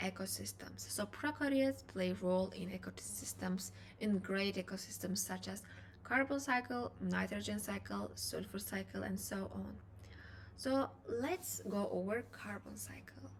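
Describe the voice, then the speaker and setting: Fairly slowly and with a non-native accent, a woman talks. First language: not English. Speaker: biochemistry student, educational youtuber. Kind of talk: lecture. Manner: halting.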